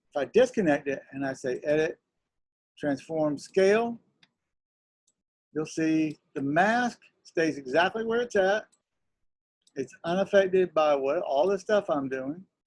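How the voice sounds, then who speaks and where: Long, frequent pauses break up a man's speech at a fairly slow pace. His pitch is fairly high and his intonation lively. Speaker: teacher. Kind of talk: lecture.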